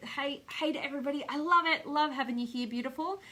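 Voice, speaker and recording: A woman with an Australian accent uses a raised, projected voice, bright and sharp in tone, animated, at a fairly quick pace with ordinary pitch variation. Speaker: speaker trainer and coach. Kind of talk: live stream motivational talk with viewer comments. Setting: Facebook live video.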